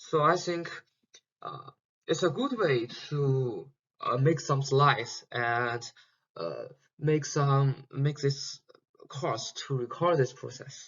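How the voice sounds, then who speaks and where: A man with a non-native accent and a fairly high pitch speaks very slowly with long, frequent pauses and ordinary pitch variation. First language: Chinese. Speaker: PhD student teaching an online course. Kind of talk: lecture. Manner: halting, many fillers and repetitions.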